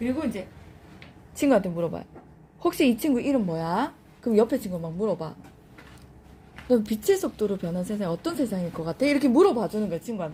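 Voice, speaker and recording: A woman speaks very fast at a fairly high pitch, her voice somewhat breathy. Her pitch swings very widely, and she leaves long, frequent pauses. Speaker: lead instructor training lecturers. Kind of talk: training session with role-play demonstration. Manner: animated, addressing a group.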